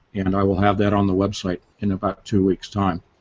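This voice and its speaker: This is a normal speaking voice at a moderate pace. The sound is dry and close, with no echo. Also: man. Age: 60s. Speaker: author and researcher. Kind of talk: casual chat.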